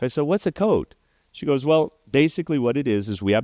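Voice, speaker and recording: A man with an American accent talks at a fairly quick pace with lively intonation, the sound dry and close with no echo over a quiet background. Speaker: entrepreneur. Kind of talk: interview storytelling. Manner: animated.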